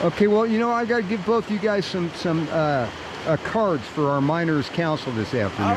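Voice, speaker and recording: A high-pitched man with an American accent, very wide pitch swings and a moderate pace, amid noticeable background noise. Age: old. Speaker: gold prospector. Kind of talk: casual interview questions.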